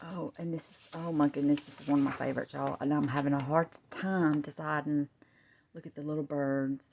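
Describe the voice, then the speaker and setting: The speaker has a Southern US accent and a fairly quick pace. The loudness swings a lot. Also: woman, very deep, low pitch for a woman. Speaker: crafter. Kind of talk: product showcase. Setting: at home on camera. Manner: animated.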